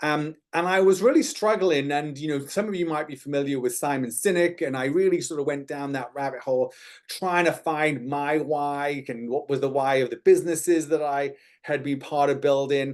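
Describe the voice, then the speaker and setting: Here is a man with an American accent and a fairly high pitch. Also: fairly even intonation, moderate pace. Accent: British, slightly Americanized from Texas. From UK. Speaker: entrepreneur and speaker. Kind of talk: webinar presentation. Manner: hesitant, many fillers.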